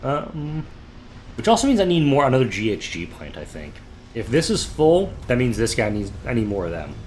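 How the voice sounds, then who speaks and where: With audible room echo, a man at a medium pitch talks at a moderate pace, his pitch swinging very widely. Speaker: gaming YouTuber. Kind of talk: let's play commentary. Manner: slightly disjointed; casual, chatty.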